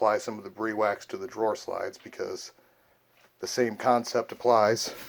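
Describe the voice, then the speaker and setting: A man speaks at a fairly slow pace. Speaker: DIY furniture vlogger. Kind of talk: casual DIY tutorial. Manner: heavy breathing; casual, hesitant with fillers.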